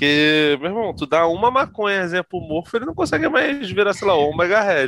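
A man speaks with a high pitch and lively intonation. His pace is moderate, with hardly any pauses. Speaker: podcast guest, comics fan. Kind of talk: casual chat.

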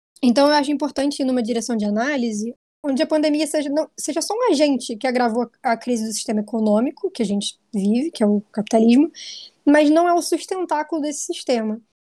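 Very fast, high-pitched woman's voice with lively intonation and a dark, mellow tone, dry and close with no echo, in a very clean recording with a silent background. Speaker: researcher, magazine editor. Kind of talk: casual discussion podcast.

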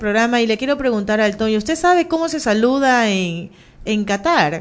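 An unremarkable speaking voice from a woman, fairly high in pitch, moderate in pace, with lively intonation. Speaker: radio host. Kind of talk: casual chat.

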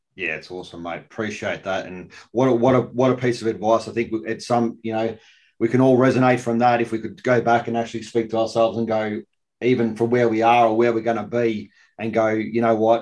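A man with an Australian accent, fairly quick pace and fairly even intonation over a quiet background. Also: medium pitch for a man. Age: 40s. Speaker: podcast host, army veteran. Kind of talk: casual interview.

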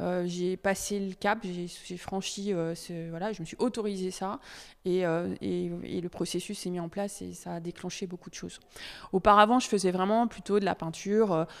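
At a moderate pace, a woman with a medium pitch speaks in fairly even intonation, her loudness swinging widely, on a very clean recording with a silent background. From Normandy, France. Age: 40s. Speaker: visual artist. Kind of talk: interview. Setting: exhibition hall. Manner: halting, many fillers.

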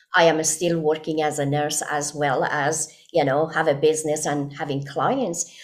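A woman with a Persian accent speaks in a very deep, low pitch with fairly even intonation. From Iran. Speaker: nurse and wellness consultant. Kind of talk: interview testimony.

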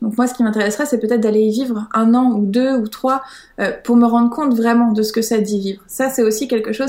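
This woman has an unremarkable speaking voice, pitched fairly high. She talks at a fairly quick pace with fairly even intonation. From France, Paris. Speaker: witch, author of practice planners. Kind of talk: interview.

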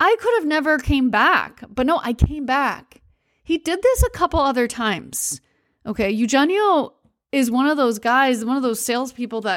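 A woman with an American accent talks at a moderate pace, her pitch high and her intonation lively. The recording is very clean, with a silent background. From United States. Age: 40s. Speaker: podcast host, travel storyteller. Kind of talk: solo storytelling monologue. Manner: casual, many fillers and laughs.

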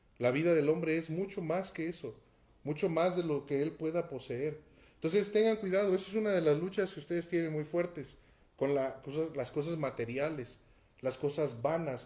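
With audible room echo, a man speaks at a moderate pace. His pitch is fairly high with ordinary variation, in a dark, mellow tone. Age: 30s. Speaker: pastor. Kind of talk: sermon. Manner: halting.

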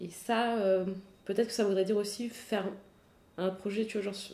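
With a dark, mellow tone, a woman speaks at a moderate pace in a medium pitch and a monotone, flat intonation. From France, Paris. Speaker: ultra-distance cyclist and triathlete. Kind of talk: casual interview.

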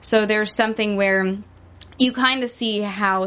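A woman's plain, everyday voice at a medium pitch and moderate pace. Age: 20s. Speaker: young novelist and aspiring actress. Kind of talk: casual interview. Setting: studio.

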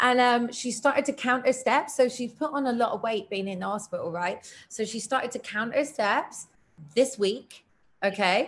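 A woman with an English accent, high-pitched and animated, at a moderate pace. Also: ordinary pitch variation. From Britain. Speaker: self-worth coach and mental health advocate. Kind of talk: casual interview chat. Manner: animated, laughs often.

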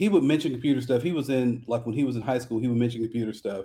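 With an American accent, a man speaks at medium pitch in a dark, mellow tone and lively intonation. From South Central Los Angeles. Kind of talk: casual interview.

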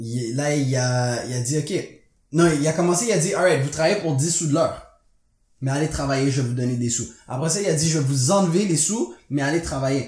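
The speech is somewhat breathy and comes at a fairly quick pace with ordinary pitch variation. Audible room echo surrounds it. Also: man, fairly high pitch for a man. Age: 20s. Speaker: podcast co-host. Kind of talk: casual chat.

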